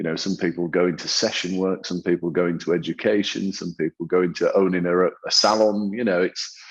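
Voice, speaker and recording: The voice belongs to a man and sits fairly low. He keeps a moderate speed. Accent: northern English. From northern England. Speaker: hairdresser and salon owner. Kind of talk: interview. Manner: hesitant, many repetitions and fillers.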